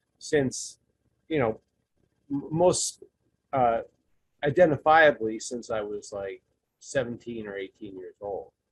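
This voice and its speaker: A man speaks at a medium pitch with ordinary variation. His voice is somewhat breathy, and the sound is dry and close with no echo. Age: 60s. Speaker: support group participant. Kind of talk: testimony. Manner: halting.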